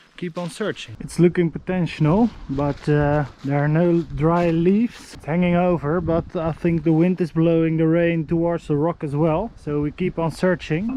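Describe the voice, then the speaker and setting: A man with a non-native accent, high pitch, fairly even intonation, and a moderate pace with hardly any pauses. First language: not English. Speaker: outdoor survival vlogger. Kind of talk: vlog narration. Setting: outdoors. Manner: halting.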